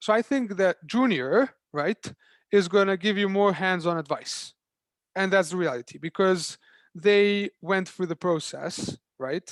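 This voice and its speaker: A man with a Serbian accent speaks fairly slowly in a high pitch with ordinary pitch variation. The sound is dry and close with no echo, on a very clean recording with a silent background. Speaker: startup founder. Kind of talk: panel Q&A. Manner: halting.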